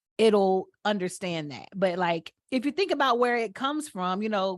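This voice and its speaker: In a Southern US accent, a woman speaks at a moderate pace with lively intonation against a quiet background. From Atlanta, Georgia. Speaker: podcast host. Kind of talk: casual chat.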